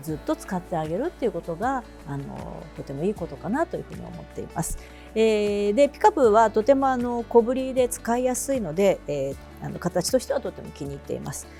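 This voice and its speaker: A woman speaks in a relaxed tone with music in the background. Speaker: freelance announcer and narrator. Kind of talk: casual talk to camera. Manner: relaxed, chatty.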